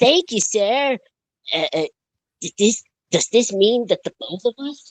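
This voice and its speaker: A put-on character voice talks at a fairly slow pace with a fairly high pitch. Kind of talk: children's train-story reading. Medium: game stream. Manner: polite, respectful.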